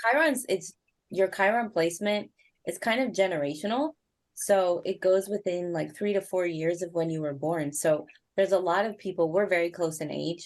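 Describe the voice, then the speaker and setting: Here a woman with an ordinary speaking voice talks at a moderate pace and medium pitch with ordinary pitch variation. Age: 30s. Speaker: astrologer. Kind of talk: astrology reading.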